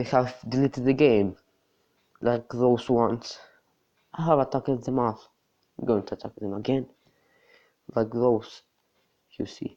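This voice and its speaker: The speaker has a non-native accent. Long pauses come often. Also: moderate pace. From not US or UK. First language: not English. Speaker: mobile game YouTuber. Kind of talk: gameplay tutorial. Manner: halting.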